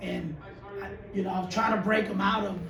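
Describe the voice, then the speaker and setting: Over noticeable background noise and audible room echo, a man talks loudly and fairly quickly at a high pitch, in a monotone, flat intonation. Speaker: high school basketball coach. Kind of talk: post-game press conference. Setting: press conference after game.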